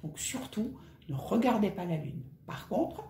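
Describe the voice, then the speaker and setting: A woman's voice with very wide pitch swings at a fairly slow pace, set in an audible room echo. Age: 50s. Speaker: personal finance vlogger. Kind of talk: casual vlog tutorial. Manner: conversational.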